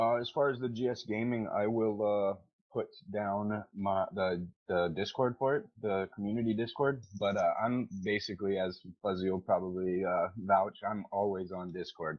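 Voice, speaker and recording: A man speaks in a normal speaking voice at a fairly low pitch. His pace is moderate and his intonation fairly even. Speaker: gaming community organizer. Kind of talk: casual chat.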